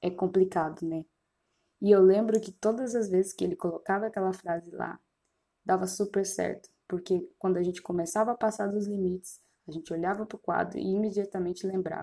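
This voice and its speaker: Her dark, mellow tone carries a fairly even intonation as the woman speaks. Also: medium pitch for a woman, fairly quick pace. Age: 20s. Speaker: podcast host, student, missionary. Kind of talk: personal podcast monologue. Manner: casual.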